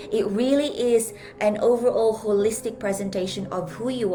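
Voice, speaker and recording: With music in the background and audible room echo, a woman speaks at medium pitch. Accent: Filipino. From Philippines. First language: Filipino language. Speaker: life coach and speaker. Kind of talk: live stream talk.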